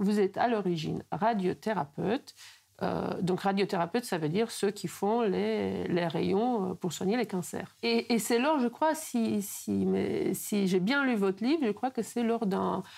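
A woman speaks at a fairly slow pace with vocal fry. The background is quiet. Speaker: interviewer. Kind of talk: interview. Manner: halting, repeats words. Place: home room.

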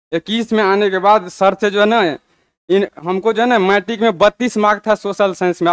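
Over a quiet background, a man with a high pitch talks at a moderate pace with fairly even intonation, the sound dry with no echo. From Bihar, Madhubani (Mithila); Bihar, India. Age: 30s. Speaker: police sub-inspector; candidate. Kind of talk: testimony. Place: studio.

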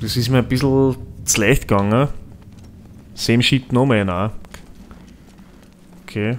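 There's a man talking. Some faint noise runs in the background. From Austria. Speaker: let's play gamer. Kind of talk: casual gameplay commentary. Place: home room. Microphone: studio mic.

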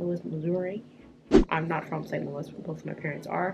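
A woman's voice can be heard. Behind her, music is playing. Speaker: vlogger. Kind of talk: casual vlog chat. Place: home room. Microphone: camera far.

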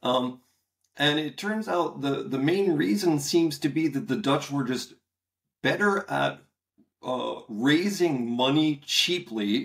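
A man's fairly high voice with lively intonation against a quiet background. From US, Pennsylvania (Bethlehem); Pennsylvania. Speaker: history professor. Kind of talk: interview. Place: home room. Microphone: webcam.

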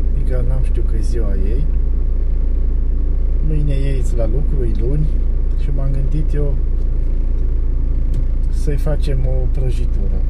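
A man talks fairly slowly through loud background noise, leaving long, frequent pauses. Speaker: driver vlogger. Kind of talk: casual vlog chat. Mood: cheerful, joking. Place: car. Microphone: phone near.

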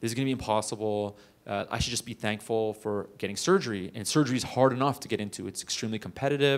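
A man with a Canadian accent talks at a very fast pace with hardly any pauses, an animated tone and ordinary pitch variation. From Canada, Toronto. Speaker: plastic surgery resident; guest. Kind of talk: interview talk to students. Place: hall. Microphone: handheld.

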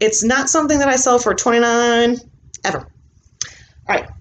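A woman speaks with an American accent. Light background noise can be heard. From US Midwest (Illinois). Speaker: reseller YouTuber; thrift reseller. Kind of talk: haul video monologue. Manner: casual, filler-heavy. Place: home room. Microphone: webcam.

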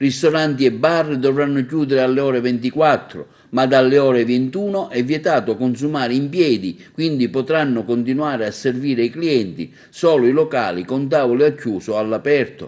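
A man talks at a moderate pace in a plain, everyday voice, at a medium pitch with ordinary pitch variation. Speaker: TV news presenter. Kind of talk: formal news reading. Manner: formal, even-paced newsreader delivery; neutral, impersonal, dense with official decree wording.

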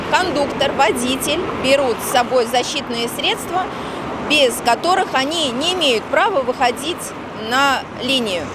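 Over loud background noise, a woman talks at a fairly slow pace with long, frequent pauses in a dry sound with no echo. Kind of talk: interview answer. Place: street. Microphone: handheld.

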